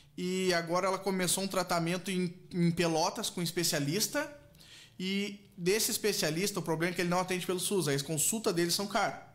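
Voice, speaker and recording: This man speaks at a fairly quick pace in a high pitch, his loudness staying very even. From southern Brazil, Rio Grande do Sul (Canguçu); Rio Grande do Sul, Brazil. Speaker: charity bingo organizer, patient's husband; guest. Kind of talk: radio interview. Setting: radio studio, streamed live. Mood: earnest, appealing for help. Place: studio. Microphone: studio mic.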